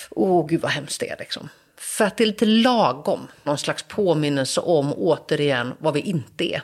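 At a moderate pace, a woman with a very deep, low pitch speaks with very wide pitch swings. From Sweden, Gothenburg (Askim). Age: 40s. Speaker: journalist and author. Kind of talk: interview.

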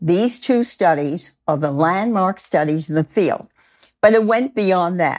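In a normal speaking voice, a woman talks at a fairly slow pace with lively intonation. The recording is very clean, with a silent background. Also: medium pitch for a woman. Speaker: college professor and noise researcher. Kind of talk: interview, conversational.

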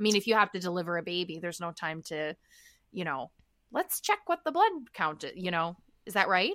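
At a fairly quick pace broken by long, frequent pauses, a woman speaks with medium pitch and ordinary pitch variation in a dry, close sound with no echo. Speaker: podcast co-host. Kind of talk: casual interview. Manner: chatty, laughs often.

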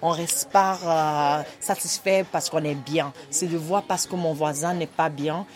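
With a Nigerian accent, a woman speaks fairly slowly in a very deep, low voice with fairly even intonation, over noticeable background noise. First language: Igbo (speaking French). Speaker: women's rights advocate. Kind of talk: podcast interview. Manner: halting.

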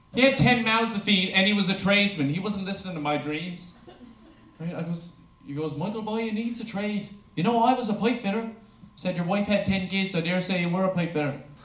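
A man's high-pitched voice at a fairly quick pace, with ordinary pitch variation and noticeable background noise. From Newfoundland, Canada. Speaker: stand-up comedian. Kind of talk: stand-up comedy set. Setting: stage with audience. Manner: sarcastic, crude, storytelling.

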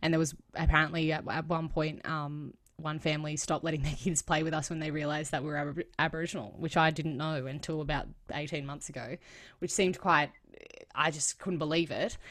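In an Australian accent, a woman speaks at a very fast pace with monotone, flat intonation and a very deep, low pitch. The recording is very clean, with a silent background. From Australia, south of Sydney (Cronulla area). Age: 20s. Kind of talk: interview conversation.

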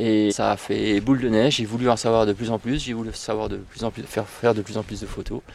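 A man at a medium pitch, speaking at a fairly quick pace. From northern Vosges, France. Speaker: amateur wildlife photographer. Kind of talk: casual chat. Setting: outdoors. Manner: halting.

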